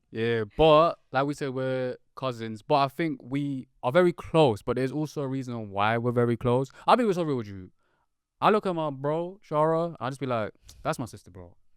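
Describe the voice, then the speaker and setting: In a London accent, a man of medium pitch speaks at a moderate pace with lively intonation, on a very clean recording with a silent background and a dry, close sound with no echo. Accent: London, multicultural London English. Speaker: podcast co-host. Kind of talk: casual chat. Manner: animated.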